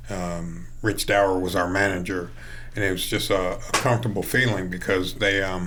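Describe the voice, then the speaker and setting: A man with a very deep, low pitch talks at a moderate pace with ordinary pitch variation, heard through audible room echo and noticeable background noise. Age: 60s. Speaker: high school baseball coach. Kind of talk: interview.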